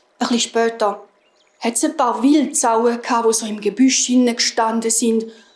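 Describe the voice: With a slightly mellow tone, a woman speaks at a moderate pace in a fairly high pitch and fairly even intonation.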